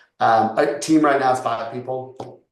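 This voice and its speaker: Speaking at a fairly slow pace in a monotone, flat intonation, a man is heard with audible room echo. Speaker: real estate agent and developer. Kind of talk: casual interview chat. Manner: loud.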